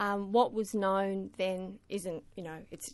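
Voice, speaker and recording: Medium-pitched woman with an Australian accent, moderate pace, quiet background. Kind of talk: radio interview.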